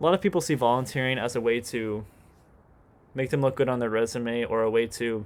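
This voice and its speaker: Speaking at a medium pitch, a man uses ordinary pitch variation. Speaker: vlogger. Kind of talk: casual monologue. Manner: fast; halting, repeats words.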